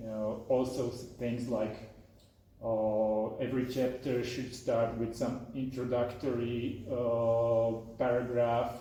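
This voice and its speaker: In a room with audible echo and noticeable background noise, a man speaks at a medium pitch with monotone, flat intonation. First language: not English. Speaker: software developer and author. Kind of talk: talk and Q&A at a meetup. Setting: meetup with live audience. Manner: halting, many fillers and repetitions.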